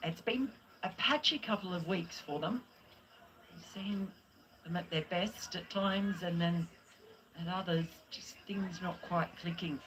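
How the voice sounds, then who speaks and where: A woman with an Australian accent talks at a medium pitch. Her speech has long, frequent pauses. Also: ordinary pitch variation, fairly slow pace. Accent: Australian twang. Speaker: cricket commentator. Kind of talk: live commentary.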